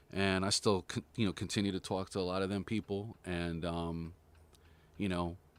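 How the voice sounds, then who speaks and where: A man with a very deep, low pitch speaks at a moderate pace in an American accent, his intonation monotone and flat. The recording is very clean with a silent background, and the sound is dry and close with no echo. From New York, then Concord, California. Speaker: drummer. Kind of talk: casual chat. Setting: studio.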